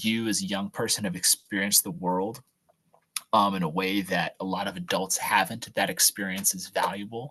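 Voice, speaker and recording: A man speaks at a moderate pace with a fairly low pitch and ordinary pitch variation. The sound is dry and close, with no echo. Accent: New Jersey. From New Jersey, Monmouth County (Jersey Shore). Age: 20s. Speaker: political staffer. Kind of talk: advice talk at online youth event. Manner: halting, many fillers and restarts.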